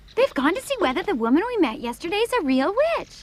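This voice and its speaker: Using a put-on character voice, the speaker races along at a very fast pace with an extremely high pitch and very wide pitch swings. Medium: fan dub. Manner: composed, matter-of-fact.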